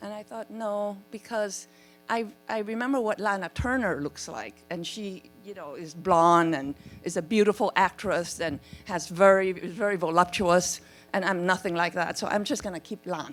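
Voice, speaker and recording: A woman with an American accent speaks at a moderate pace, her pitch medium with ordinary variation. Music plays in the background. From Vietnam, came to US as teen. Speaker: author and legal scholar. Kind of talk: panel discussion. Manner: halting, repeats words.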